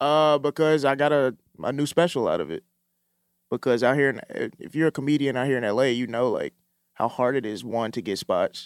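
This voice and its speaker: A man with an ordinary speaking voice and an American accent talks at a fairly quick pace, his pitch fairly high with ordinary pitch variation. The recording is very clean, with a silent background and a dry, close sound with no echo. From Mississippi, US South. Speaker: comedian and TV writer. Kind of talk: casual chat.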